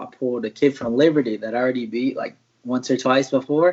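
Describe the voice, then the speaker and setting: A man with an American accent and an unremarkable speaking voice speaks at a moderate pace in a medium pitch with fairly even intonation. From US South, Martinsville, Virginia. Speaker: mixed martial arts fighter, former college wrestler. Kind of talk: interview. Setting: live stream.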